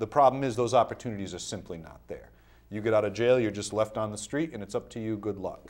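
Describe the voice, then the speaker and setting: Talking very fast, a man with an American accent and a fairly low pitch shows big swings in loudness. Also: ordinary pitch variation. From Rhode Island, US. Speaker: criminal defense attorney, former mayor; interview guest, attorney. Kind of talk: interview. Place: studio.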